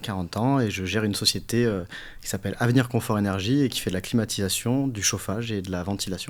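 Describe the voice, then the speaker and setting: A man speaks at a very fast pace in a fairly low voice. His pitch rises and falls in an ordinary way. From southern France, Nice. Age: 40s. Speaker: business owner, HVAC company. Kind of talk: interview, casual chat.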